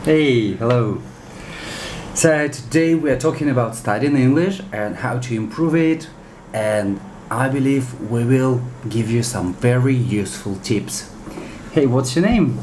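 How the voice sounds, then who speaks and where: With a Russian accent and a medium pitch, a man speaks at a fairly slow pace with long, frequent pauses and ordinary pitch variation, amid audible room echo and noticeable background noise. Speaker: interviewer, English teacher. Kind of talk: interview.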